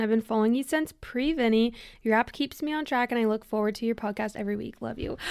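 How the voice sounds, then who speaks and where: Very fast and barely pausing, a woman speaks at a fairly high pitch in an animated tone. The recording is very clean with a silent background. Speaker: fitness podcast host. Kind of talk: casual chat.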